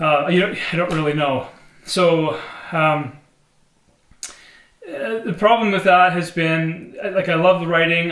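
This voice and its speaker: A man talks with fairly even intonation, and the room echo is audible. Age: 40s. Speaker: singer-songwriter. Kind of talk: casual vlog monologue. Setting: home studio. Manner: halting, many fillers. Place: studio.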